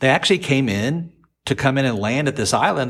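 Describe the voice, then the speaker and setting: Pitch swings very widely in this man's voice. It sits at a medium pitch. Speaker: podcast co-host. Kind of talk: casual chat.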